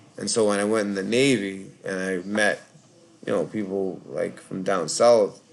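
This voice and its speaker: A man's fairly low voice with ordinary pitch variation, over noticeable background noise. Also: moderate pace. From Boston, Massachusetts (Charlestown). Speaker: call-in show host, Navy veteran. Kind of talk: casual live call-in chat. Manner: rambling, hesitant with fillers.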